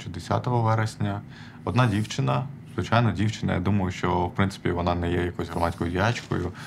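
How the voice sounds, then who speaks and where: A man's very deep, low voice with an Armenian accent, fairly quick pace, audible room echo and noticeable background noise. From Odesa, southern Ukraine. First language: Armenian (speaking Ukrainian). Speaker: activist, programmer. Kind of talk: personal story told from stage. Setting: stage with audience. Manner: halting, many fillers.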